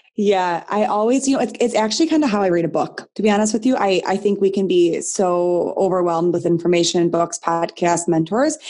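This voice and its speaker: The tone is dark and mellow, with lively intonation and very even loudness. Delivery comes at a fairly quick pace with hardly any pauses. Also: woman, medium pitch for a woman. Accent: Midwestern American. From Michigan, US Midwest. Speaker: nutrition and business coach, former teacher. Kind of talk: casual interview chat. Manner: animated.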